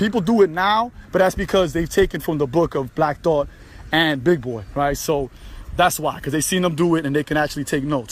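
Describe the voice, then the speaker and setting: A man talks at a fairly quick pace with a New York accent. His pitch is high and its variation is ordinary. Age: 40s. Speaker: podcaster, former military. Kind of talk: casual monologue. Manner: casual, filler-heavy.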